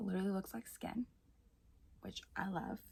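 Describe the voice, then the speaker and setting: The speaker is a woman. Her voice is soft-spoken. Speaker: beauty vlogger. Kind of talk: makeup tutorial.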